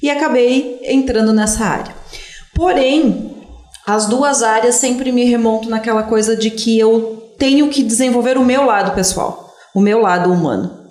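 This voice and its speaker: Noticeable background noise and audible room echo fill this clip of a woman at a fairly high pitch. She speaks at a fairly slow pace with very even loudness and ordinary pitch variation. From southern Brazil, Serra Gaúcha (Antônio Prado, Italian-descended area). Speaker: history teacher. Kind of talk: interview.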